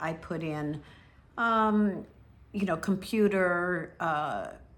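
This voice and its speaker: Her intonation stays fairly even. The woman's voice carries audible room echo. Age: 70s. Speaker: travel vlogger. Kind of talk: tutorial. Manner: casual, hesitant with many fillers.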